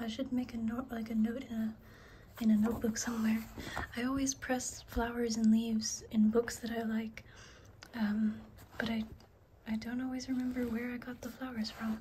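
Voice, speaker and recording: Soft-spoken and relaxed in tone, a woman with a fairly high pitch speaks at a moderate pace in a monotone, flat intonation, leaving long, frequent pauses against noticeable background noise. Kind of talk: ASMR book show-and-tell. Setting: home recording with a basic microphone, light rain sounds. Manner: soft-spoken, relaxed.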